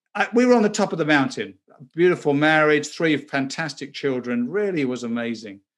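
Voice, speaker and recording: Pitch swinging very widely, a man with an English accent and a fairly high voice talks at a fairly quick pace. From southern England. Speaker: former banker and pastor. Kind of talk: interview testimony.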